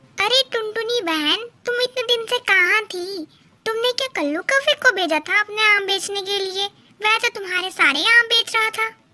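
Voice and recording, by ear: A female-sounding voice performs a cartoonish character at an extremely high pitch. The pace is moderate.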